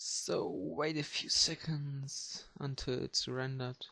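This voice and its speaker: A man speaks with fairly even intonation in a dry, close sound with no echo over a quiet background. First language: German. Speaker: 3D modeler, channel owner. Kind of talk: screen-recorded tutorial showcase. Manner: halting, many fillers.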